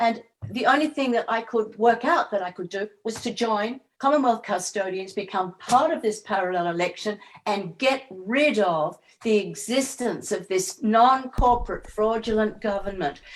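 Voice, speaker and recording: The pace stays moderate. The voice comes with an Australian accent. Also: woman, fairly high pitch for a woman, ordinary pitch variation. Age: 70s. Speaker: political activist. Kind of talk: interview.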